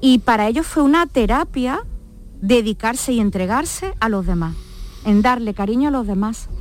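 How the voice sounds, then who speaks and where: A woman with a fairly high pitch and lively intonation, over noticeable background noise. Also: moderate pace. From Málaga, Andalusia. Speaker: nurse. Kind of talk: interview. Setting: studio.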